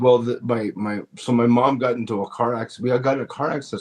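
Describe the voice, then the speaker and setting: A man with a Canadian accent talks at a fairly quick pace and a medium pitch. His intonation is fairly even, and he has an unremarkable speaking voice. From Canada, Toronto (Filipino parents). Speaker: comedian. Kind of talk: interview.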